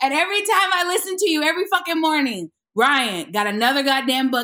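Lively intonation and an animated tone carry this raised, projected voice, bright and sharp, at a fairly quick pace. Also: woman. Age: 30s. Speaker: actress and comedian. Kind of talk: casual chat.

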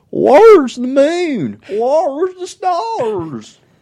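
A put-on character voice speaks in a high pitch. The pace is very slow, with very wide pitch swings. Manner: bewildered, startled.

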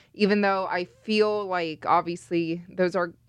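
Her intonation stays flat and monotone as the woman talks at a moderate pace. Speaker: podcast co-host, sports reporter. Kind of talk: casual podcast chat.

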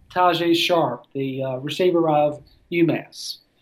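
A man with a high pitch and fairly even intonation, with a Southern accent. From US South, Tennessee (near Nashville). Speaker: sports writer. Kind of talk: casual chat.

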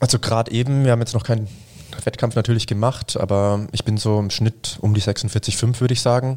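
A man talks at a fairly quick pace in a monotone, flat intonation, his loudness very even throughout. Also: medium pitch for a man. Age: 20s. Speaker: sprinter. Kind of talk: casual chat.

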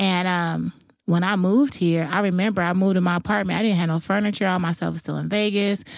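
A woman at medium pitch, talking at a very fast pace, in a very clean recording with a silent background. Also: fairly even intonation. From Jamaica. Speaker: author and nonprofit founder. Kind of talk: casual chat.

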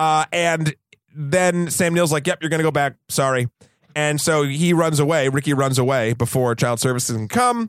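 With an American accent, this is a normal speaking voice at a moderate pace with ordinary pitch variation. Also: man, fairly high pitch for a man. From US, New Hampshire. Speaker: podcast co-host, film reviewer. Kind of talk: casual chat.

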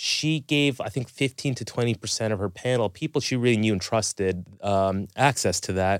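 A man with a normal speaking voice and a Canadian accent talks at a moderate pace with hardly any pauses, his medium pitch showing ordinary variation, in a dry, close sound with no echo on a very clean recording with a silent background. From Canada, Toronto. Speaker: family and sleep medicine doctor. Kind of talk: interview.

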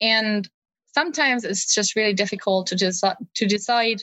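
With a German accent, a woman speaks at a moderate pace in a fairly high pitch, her intonation fairly even. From Germany. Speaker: history research assistant. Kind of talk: interview.

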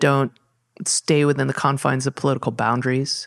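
A woman with a Californian accent is heard in a dry, close sound with no echo. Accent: Californian American. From Southern California. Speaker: parks department natural areas manager. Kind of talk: interview.

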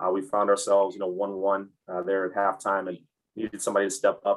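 Delivery comes very fast. Intonation stays monotone and flat. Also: man. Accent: Midwestern American. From Michigan, Ann Arbor. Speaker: college soccer head coach. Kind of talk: interview. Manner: halting, many fillers.

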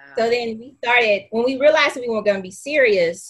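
Her tone bright and sharp, a woman talks at a fairly quick pace with lively intonation. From Louisiana. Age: 40s. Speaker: academic administrator. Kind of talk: casual interview.

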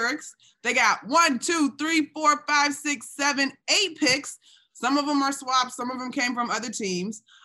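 A woman projects a raised voice with a bright, sharp tone and high pitch. She speaks at a fairly slow pace with ordinary pitch variation. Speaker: basketball podcast host. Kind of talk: casual sports talk show.

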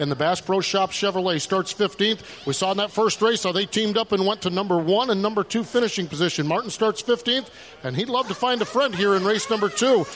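A man talks very fast in a high voice, with hardly any pauses. His pitch varies in an ordinary way over noticeable background noise. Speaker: pit road reporter. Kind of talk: live reporting with interviews.

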